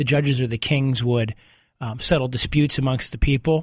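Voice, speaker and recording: The delivery is fairly quick and somewhat breathy. Intonation holds fairly even. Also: man. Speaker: lawyer, legal radio show host. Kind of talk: radio call-in show.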